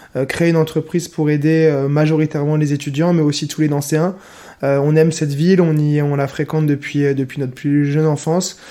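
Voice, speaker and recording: Fairly quick and monotone, a man speaks with flat intonation at a fairly high pitch. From France, Lorraine (Nancy). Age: 20s. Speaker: semi-professional handball player and entrepreneur. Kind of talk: podcast interview. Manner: hesitant, many fillers.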